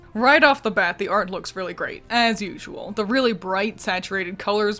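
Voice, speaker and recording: Over noticeable background noise, a woman talks fairly quickly at a fairly high pitch with ordinary pitch variation. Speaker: video game commentary youtuber. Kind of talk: scripted video commentary. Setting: at home with roommate nearby. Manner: quiet, trying not to disturb.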